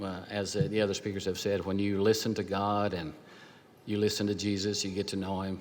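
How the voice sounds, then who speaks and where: A man with an American accent speaks at a fairly quick pace, his fairly low voice monotone and flat. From Oklahoma. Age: 70s. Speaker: businessman and alumni award honoree. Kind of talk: acceptance speech.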